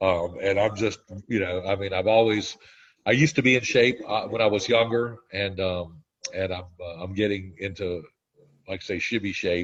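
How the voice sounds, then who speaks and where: Somewhat breathy and fairly low in pitch, a man talks at a moderate pace with ordinary pitch variation against a quiet background. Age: 60s. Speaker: weight loss program member. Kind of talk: interview testimony. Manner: halting.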